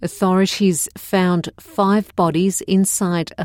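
With an Australian accent and a medium pitch, a woman speaks at a very slow pace in a very clean recording with a silent background. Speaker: news presenter. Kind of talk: newsreading, scripted bulletin read aloud in clear, plain English for learners. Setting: studio. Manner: measured, even-paced and neutral; formal, clearly enunciated.

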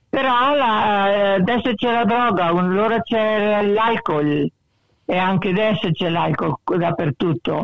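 A woman at a very slow pace, medium pitch, ordinary pitch variation and very even loudness. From Italy, Belluno province (Veneto). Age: 80s+. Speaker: Italian emigrant, retiree. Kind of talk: interview, life story. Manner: halting, many hesitations.

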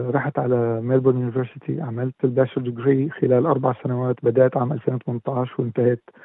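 A man of medium pitch talks at a fairly quick pace with hardly any pauses. His intonation is monotone and flat. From Syria. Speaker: musician and former dentist. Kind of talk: interview.

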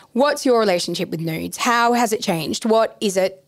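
A woman talks with an Australian accent at a fairly quick pace. Her pitch is fairly high. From Brisbane, Australia. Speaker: podcast host. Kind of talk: casual interview conversation.

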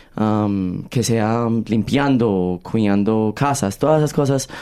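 Dark and mellow in tone, the man's speech shows ordinary pitch variation. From Australia, Colombian-born. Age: 20s. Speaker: musical theatre actor. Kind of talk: interview. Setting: studio.

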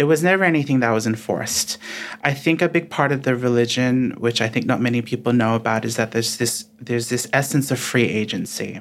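A man's medium-pitched voice at a fairly quick pace, with ordinary pitch variation, very even loudness and noticeable background noise. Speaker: writer and guest. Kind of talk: reading aloud, then interview chat.

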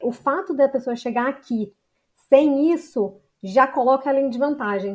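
A woman with a Brazilian accent, high in pitch with ordinary variation, at a moderate pace. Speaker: psychologist. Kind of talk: expert interview.

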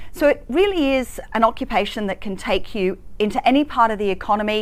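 A woman with a fairly high voice talks at a very fast pace, her intonation lively. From Hong Kong. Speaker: chief economist. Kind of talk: interview.

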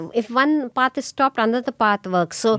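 A woman with an Indian accent speaks at a moderate pace with lively intonation, in a dry, close sound with no echo. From India (Pune, near Mumbai). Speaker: immigrant parent. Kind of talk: casual family conversation. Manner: laughs often.

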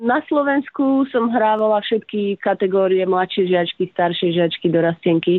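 A woman speaks in a normal speaking voice at a medium pitch and moderate pace, with lively intonation. There are hardly any pauses, and her loudness stays very even. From Slovakia, Prievidza. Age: 30s. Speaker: professional tennis player. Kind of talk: interview.

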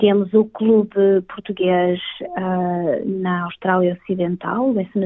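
A woman talks at a medium pitch. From northern Portugal, Vila Nova de Famalicão. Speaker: community council representative. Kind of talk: interview.

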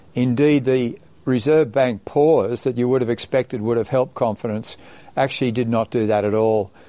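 A man with an Australian accent speaks at a medium pitch and a moderate pace, his tone dark and mellow. His intonation stays fairly even and his loudness very even. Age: 70s. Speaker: bank chief economist. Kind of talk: interview. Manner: halting.

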